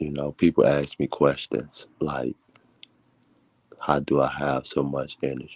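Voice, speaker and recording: Soft-spoken and flat, the voice has vocal fry and a fairly slow pace with long, frequent pauses. The sound is dry and close, with no echo. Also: man, very deep, low pitch for a man. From Chicago. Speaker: motivational vlogger. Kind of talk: casual monologue.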